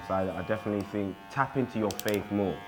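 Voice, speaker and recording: Noticeable background noise and audible room echo surround a man's fairly low voice. He keeps a moderate pace with fairly even intonation. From England (moved from South Africa at six). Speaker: interviewee sharing life story. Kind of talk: interview testimony. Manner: casual, halting with fillers.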